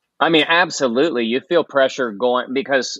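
In an American accent, a man uses a normal speaking voice at medium pitch with ordinary pitch variation. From West Virginia. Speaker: singer-guitarist. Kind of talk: casual interview chat.

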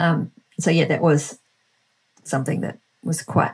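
In a New Zealand accent, a woman speaks at a very slow pace in a somewhat breathy voice with a fairly low pitch. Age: 40s. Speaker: entrepreneur and author. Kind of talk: interview conversation.

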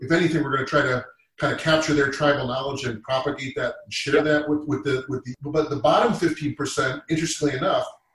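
Speaking with an American accent, a man uses a normal speaking voice at a fairly high pitch, with fairly even intonation and a fairly quick pace. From Massachusetts. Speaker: sales leader. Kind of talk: panel discussion.

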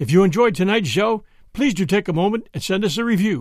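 The recording is very clean, with a silent background. A man speaks at a moderate pace with a high pitch. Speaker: podcast host. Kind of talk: podcast intro and outro. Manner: friendly, upbeat, conversational.

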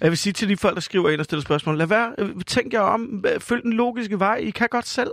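On a very clean recording with a silent background, a man speaks at a very fast pace. His voice is high. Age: 40s. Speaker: restaurant owner. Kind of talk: comedic radio chat.

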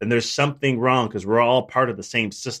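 A man with a Chicago accent is heard on a very clean recording with a silent background. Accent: Chicago American. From Chicago, US. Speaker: chiropractor and business coach. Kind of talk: interview conversation.

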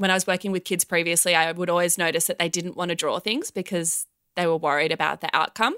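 A woman with an Australian accent talks at a very fast pace in a fairly low pitch, her tone bright and sharp with fairly even intonation. The recording is very clean with a silent background, and the sound is dry and close with no echo. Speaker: children's band singer. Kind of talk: casual chat.

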